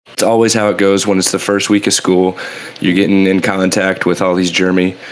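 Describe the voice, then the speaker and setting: A man at a very deep, low pitch, fairly quick in pace, monotone and flat in intonation, very even in loudness, over noticeable background noise. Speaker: podcast co-host. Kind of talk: casual chat.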